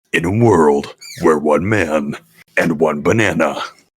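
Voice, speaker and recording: In a put-on character voice, a man speaks with a very deep, low pitch and a raspy sound. His pace is fairly slow. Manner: dramatic, narrating.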